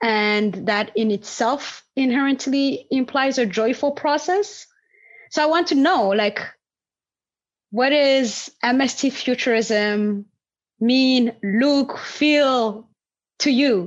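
Against a quiet background, a woman with a high pitch talks at a very slow pace, her loudness very even and her pitch variation ordinary. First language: non-English native language. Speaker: podcast host and landscape designer. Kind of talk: interview conversation.

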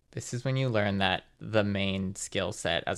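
With a Californian accent, a man speaks at a very deep, low pitch with vocal fry and lively intonation. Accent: General Californian American. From US West Coast, Los Angeles suburbs. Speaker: writer and filmmaker. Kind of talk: casual chat.

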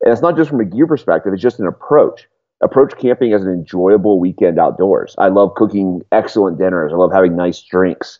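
With lively intonation and a normal speaking voice, a man talks at a fairly quick pace in a fairly low pitch. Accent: American. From North Carolina, France and England. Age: 30s. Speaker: outdoor adventure journalist. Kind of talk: podcast interview.

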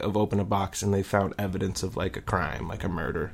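Very fast speech from a man with a fairly low pitch. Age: 20s. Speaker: podcast co-host. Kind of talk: casual chat. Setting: studio.

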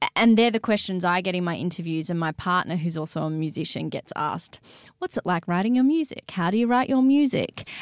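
A woman with an Australian accent at medium pitch, fairly quick and lively in intonation, on a very clean recording with a silent background and a dry, close sound with no echo. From Australia, Sydney. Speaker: singer-songwriter and DJ. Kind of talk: interview.

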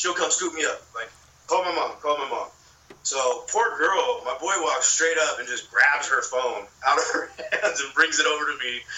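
There is noticeable background noise as a man with an American accent talks at a moderate pace. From California, Long Beach. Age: 20s. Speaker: filmmaker and podcaster. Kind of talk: casual storytelling chat.

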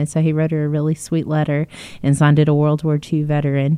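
A woman's very deep, low voice with a Texan accent, dark and mellow in tone, fairly quick and monotone with flat intonation. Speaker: museum podcast host. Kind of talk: casual chat.

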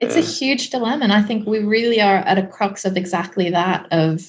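The speaker is a woman. There is a somewhat breathy quality to her voice. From Hawaii. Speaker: film photographer. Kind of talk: casual chat.

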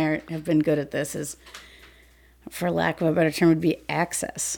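An unremarkable speaking voice comes with an American accent. It moves at a fairly quick pace. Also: woman. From US Midwest, Saint Paul Minnesota. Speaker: police officer. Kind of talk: casual interview.

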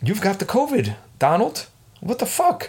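In a very clean recording with a silent background, a man speaks at a moderate pace in an animated tone. His voice is somewhat breathy and swings very widely in pitch. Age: 40s. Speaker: solo podcast host. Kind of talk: casual monologue. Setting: home recording setup.

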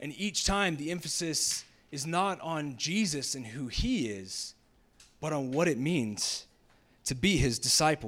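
A man with a fairly high voice and an unremarkable speaking voice, speaking at a fairly slow pace in an American accent, with lively intonation, on a very clean recording with a silent background. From US South, Jacksonville, Florida. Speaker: pastor. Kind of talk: sermon.

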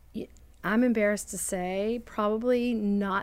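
This is an ordinary speaking voice from a woman, medium in pitch with ordinary pitch variation. The recording is very clean over a silent background. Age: 60s. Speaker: coffee shop founder. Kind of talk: casual interview. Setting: studio.

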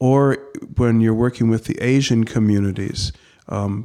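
Speaking at a moderate pace, a man has a medium-pitched voice with a dark, mellow tone. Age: 60s. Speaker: Lutheran pastor. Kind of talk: interview conversation.

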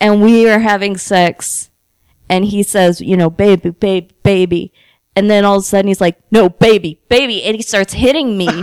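A woman's animated, medium-pitched voice at a moderate pace, with a dry, close sound and no echo. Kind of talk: casual comedic chat. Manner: animated, joking.

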